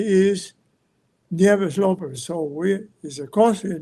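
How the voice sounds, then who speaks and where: High in pitch, a man's voice has a dark, mellow tone. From Puerto Rico, central mountains (Naranjito). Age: 90s. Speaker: war veteran. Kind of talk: testimony. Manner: halting.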